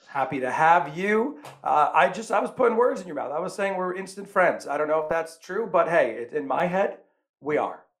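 Loud and with an American accent, a man speaks at a fairly quick pace, his high pitch carried by lively intonation. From New York. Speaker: podcast host. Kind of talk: casual interview chat. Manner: animated, loud; jokey, self-deprecating.

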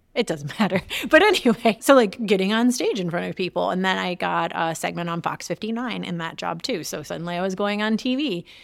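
With a Midwestern American accent, a woman talks at a fairly quick pace, her pitch fairly low and marked by vocal fry. Her pitch variation is ordinary, and the recording is very clean, with a silent background. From Detroit area, Michigan. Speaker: entrepreneur and former journalist. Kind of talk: interview conversation. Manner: fast talker; fumbles words when excited.

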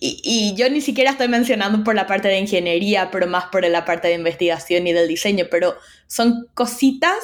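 In a very clean recording with a silent background, a woman with an ordinary speaking voice talks at a fairly quick pace, her medium pitch carried by lively intonation. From Paraguay. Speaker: UX researcher. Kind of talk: interview.

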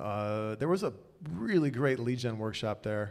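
This is a normal speaking voice from a man. His pitch sits at a medium level and varies in an ordinary way. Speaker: tech executive. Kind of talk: live podcast interview. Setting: stage with audience.

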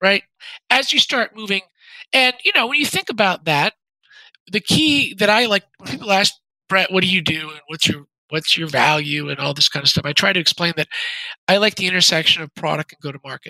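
Raising and projecting his high voice, a man talks at a fairly quick pace with lively intonation, long, frequent pauses and big swings in loudness, the sound dry and close with no echo. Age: 40s. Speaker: venture capitalist, former software executive. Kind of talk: interview.

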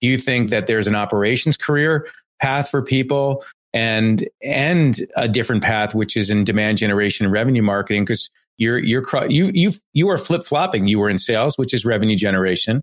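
A man with a normal speaking voice talks at a fairly quick pace in a medium pitch, with lively intonation and very even loudness. The recording is very clean, with a silent background. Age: 50s. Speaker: marketing agency CEO and podcast host. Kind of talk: interview.

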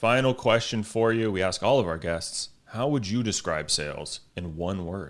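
In a normal speaking voice, someone talks at a moderate pace with lively intonation and hardly any pauses over a quiet background. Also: man, fairly low pitch for a man. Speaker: podcast host. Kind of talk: casual interview.

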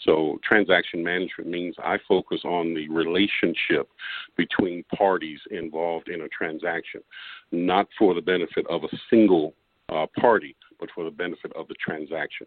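A man with a very deep, low voice speaks at a moderate pace with fairly even intonation. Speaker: business consultant. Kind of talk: interview conversation.

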